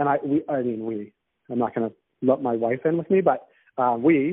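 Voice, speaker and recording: With an American accent, a man with an ordinary speaking voice talks at a fairly quick pace and medium pitch, his pitch varying in an ordinary way. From US, Boston. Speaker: cannabis business founder. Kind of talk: casual interview.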